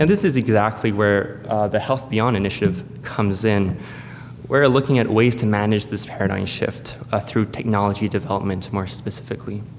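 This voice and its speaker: Speaking at a fairly quick pace, a man with a fairly low pitch uses ordinary pitch variation. Audible room echo and noticeable background noise fill the recording. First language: French. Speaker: space agency presenter. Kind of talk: conference presentation. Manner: hesitant, many fillers.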